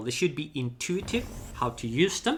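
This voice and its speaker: This man has a bright, sharp tone and a non-native accent. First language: not English. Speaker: gaming YouTuber. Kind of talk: gameplay tutorial. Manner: halting, with fillers and false starts.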